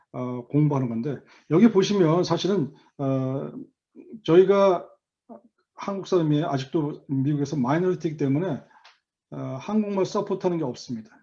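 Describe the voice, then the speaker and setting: With lively intonation, a man speaks at a moderate pace in a dark, mellow tone at a fairly high pitch. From Korea. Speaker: volunteer tax instructor. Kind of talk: online lecture. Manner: halting, frequent fillers.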